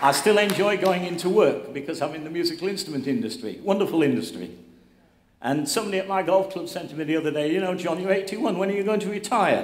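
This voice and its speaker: A man's high-pitched voice at a very fast pace, with ordinary pitch variation, audible room echo and noticeable background noise. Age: 80s+. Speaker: award recipient, instrument business owner. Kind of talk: acceptance speech.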